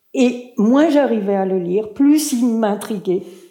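Audible room echo surrounds a woman who speaks at a very slow pace. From Turkey, Istanbul. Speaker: writer and translator. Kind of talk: public talk at a literary event. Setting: stage with audience.

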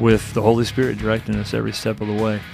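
Music plays in the background behind a man. He talks very fast at a medium pitch. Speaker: church leader, podcast promo host. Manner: casual, friendly.

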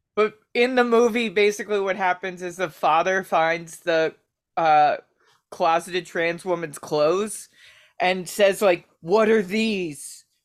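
A woman with a plain, everyday voice, an American accent, medium pitch, ordinary pitch variation and a fairly slow pace, in a very clean recording with a silent background. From Baltimore, US. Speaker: stand-up comedian. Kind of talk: casual chat. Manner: jokey, rambling.

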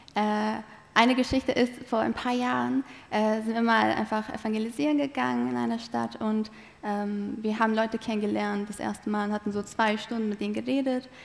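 With a non-native accent, the speaker moves at a moderate pace and shows ordinary pitch variation. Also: woman, fairly high pitch for a woman. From eastern Turkey (Malatya). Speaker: theology student. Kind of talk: interview testimony.

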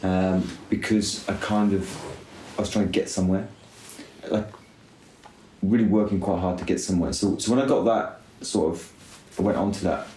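A man's fairly low, flat monotone broken by long, frequent pauses, with audible room echo. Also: moderate pace. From UK. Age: 30s. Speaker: cycling team director. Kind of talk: casual chat. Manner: quiet and considered.

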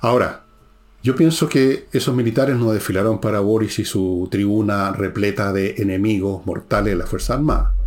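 Music plays in the background as a man speaks at a moderate pace and a fairly low pitch, with ordinary pitch variation. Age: 70s. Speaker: podcast host and author. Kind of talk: political commentary monologue.

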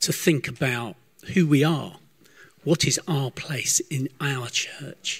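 Somewhat breathy and fairly high for a man, his voice goes at a very slow pace with ordinary pitch variation. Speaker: church member leading prayer. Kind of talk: spoken prayer. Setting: church service.

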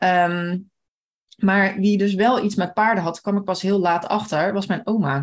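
A woman with an ordinary speaking voice at medium pitch, fairly slow and fairly even in intonation, her loudness very even. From Limburg, Netherlands (Maasbree). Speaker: horse rider. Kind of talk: casual chat.

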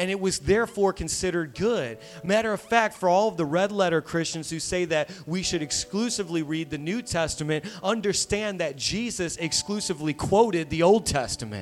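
A man talks at a fairly quick clip in a high voice with an animated tone, hardly pausing, while music plays in the background. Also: ordinary pitch variation. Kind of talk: sermon. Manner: animated, exhorting, with audience call-and-response; conversational, humorous, building in intensity.

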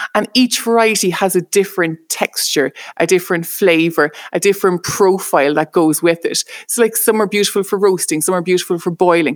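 With an Irish accent, a woman speaks at a fairly quick pace and a medium pitch. The sound is dry and close, with no echo. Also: ordinary pitch variation, very clean recording, silent background. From Ireland. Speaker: chef. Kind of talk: casual interview.

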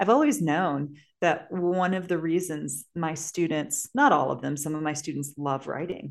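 A woman with an American accent speaks at a very deep, low pitch with ordinary pitch variation. She talks with hardly any pauses. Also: moderate pace. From US Midwest, St. Louis area, Missouri. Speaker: podcast co-host and teacher. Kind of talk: casual chat.

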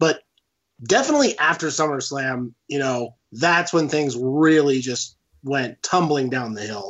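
Speaking at a fairly slow pace, a man with a fairly high voice sounds animated, his pitch varying in an ordinary way. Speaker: patron guest, wrestling fan. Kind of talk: casual chat. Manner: friendly, animated.

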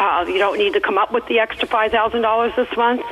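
A woman speaks as noticeable background noise carries on behind her. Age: 60s. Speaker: radio caller. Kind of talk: call-in question. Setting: phone call. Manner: halting.

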